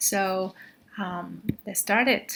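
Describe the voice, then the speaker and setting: A woman with a Chinese accent, very slow pace and bright, sharp tone. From China, Xi'an. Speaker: graduate student. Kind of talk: slide presentation. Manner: halting, many fillers.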